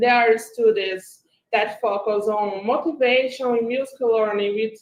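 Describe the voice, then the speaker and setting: A woman speaks with a Brazilian Portuguese accent. Her intonation stays fairly even. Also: fairly high pitch for a woman, moderate pace. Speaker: graduate student. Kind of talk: academic presentation. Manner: reading from script.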